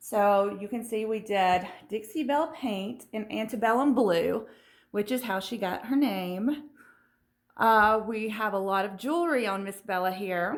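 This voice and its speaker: The speaker goes at a fairly slow pace with ordinary pitch variation, and audible room echo can be heard. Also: woman, fairly high pitch for a woman. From US South. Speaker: furniture refinisher and video host. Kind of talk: tutorial. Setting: home studio and garage. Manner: casual with fillers.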